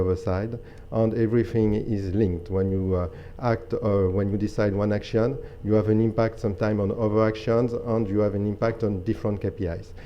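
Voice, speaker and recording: Audible room echo surrounds a man with a French accent whose pitch sits fairly low. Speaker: energy company program director. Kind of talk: conference presentation. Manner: halting, many fillers.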